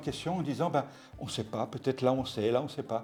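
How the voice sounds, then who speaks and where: A man with lively intonation, music playing in the background. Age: 70s. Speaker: retired clown, church volunteer. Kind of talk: testimony interview. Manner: halting, repeats words.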